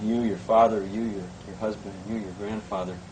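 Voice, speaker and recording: A man with a fairly low pitch and ordinary pitch variation is heard with audible room echo and noticeable background noise. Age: 20s. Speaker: company interviewer. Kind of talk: interview. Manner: halting.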